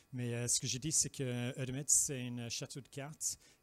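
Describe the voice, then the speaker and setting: In a very clean recording with a silent background, a man talks at a fairly slow pace and medium pitch in monotone, flat intonation. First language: English (speaking French). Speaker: regulatory affairs expert presenting at industry event. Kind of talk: conference presentation. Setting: public presentation. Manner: halting, many filler sounds.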